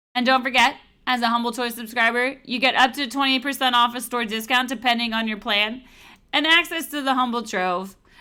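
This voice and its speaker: A woman mumbles at a fairly quick pace in a high, bright, sharp voice with fairly even intonation. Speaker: livestream host. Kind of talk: promotional sales pitch. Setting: livestream. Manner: mumbling.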